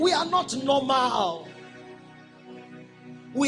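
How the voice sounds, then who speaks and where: Over clear background music, the speech moves at a very slow pace. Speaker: preacher. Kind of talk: sermon.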